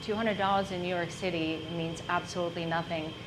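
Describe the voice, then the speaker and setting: Speaking at a fairly quick pace in a Czech accent, a woman with a medium pitch keeps her intonation fairly even, with noticeable background noise and audible room echo. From Czech Republic. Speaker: entrepreneur. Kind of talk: business presentation.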